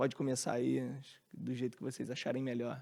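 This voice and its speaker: In a Rio de Janeiro accent, a man talks at a moderate pace on a very clean recording with a silent background. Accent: Rio de Janeiro accent, hissing s. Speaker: company CEO, panel moderator. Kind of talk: panel discussion. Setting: stage with audience.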